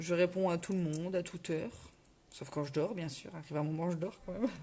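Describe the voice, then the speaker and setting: This woman's voice has a fairly low pitch and a dark, mellow tone. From northern France. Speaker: craft demonstrator and product seller. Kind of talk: live craft tutorial. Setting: live stream at home. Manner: casual, chatty, with hesitations.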